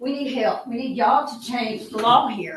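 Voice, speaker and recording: A woman with a Southeast Texas accent speaks at a moderate pace, with audible room echo. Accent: Southeast Texas Southern. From Texas, Liberty County. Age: 50s. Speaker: resident speaking at public comment. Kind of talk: public comment at county meeting. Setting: county commissioners court meeting. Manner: emphatic, pleading.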